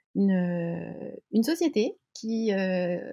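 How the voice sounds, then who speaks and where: Somewhat breathy, a woman speaks at medium pitch. Her pitch variation is ordinary. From French coast. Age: 40s. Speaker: sports brand co-founder. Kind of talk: interview. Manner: halting, many hesitations.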